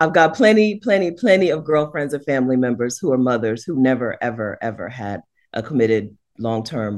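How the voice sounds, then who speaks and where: With an American accent, a woman speaks at a fairly quick pace in a very deep, low pitch, her animated tone carrying very wide pitch swings and big swings in loudness over a quiet background. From United States. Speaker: YouTuber and house sitter. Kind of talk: casual chat.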